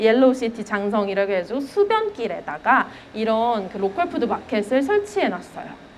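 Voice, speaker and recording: A woman in a Gyeongsang accent at a moderate pace, with very wide pitch swings, audible room echo and noticeable background noise. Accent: Gyeongsang dialect slips out. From Gyeongsang region, Korea. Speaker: elementary school teacher. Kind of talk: lecture. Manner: conversational, with fillers.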